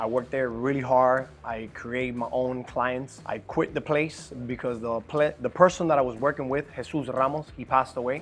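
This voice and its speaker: Speaking at a moderate pace with hardly any pauses, a man with a Cuban accent keeps his intonation fairly even. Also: medium pitch for a man. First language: Spanish. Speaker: business owner. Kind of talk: personal life story. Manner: halting.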